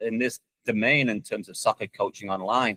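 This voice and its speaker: A bright, sharp tone at a fairly quick pace, with a dry, close sound with no echo. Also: man. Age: 60s. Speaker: soccer coach and online video creator. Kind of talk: interview.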